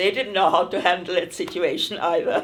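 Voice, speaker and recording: The speaker has a German accent. The pace is moderate. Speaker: refugee interviewee. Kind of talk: oral history interview.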